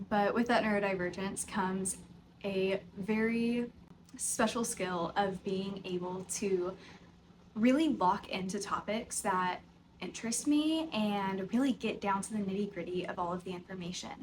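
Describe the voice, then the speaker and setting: Speaking at a fairly slow pace, a woman with an American accent has a somewhat breathy, medium-pitched voice and ordinary pitch variation. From US South, Tennessee (near Nashville). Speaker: podcast host, yoga teacher. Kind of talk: casual unscripted chat to camera. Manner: conversational, filler-heavy.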